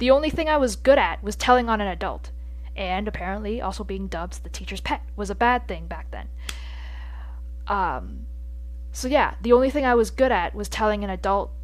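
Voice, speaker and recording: Over music in the background, a woman speaks at a fairly quick pace with big swings in loudness. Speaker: podcast host. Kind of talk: casual podcast talk. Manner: stuttering.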